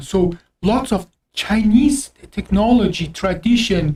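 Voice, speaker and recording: Somewhat breathy speech in an Azerbaijani accent, dark and mellow in tone, with ordinary pitch variation. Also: woman. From Azerbaijani background. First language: Azeri Turkish. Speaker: doctor, podcast co-host. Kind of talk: casual chat. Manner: halting.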